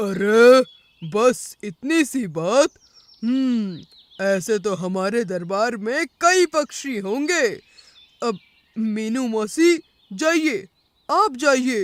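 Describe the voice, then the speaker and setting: A cartoonish character voice at a fairly high pitch moves at a very slow pace with long, frequent pauses. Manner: hesitant fillers, hmm and arre.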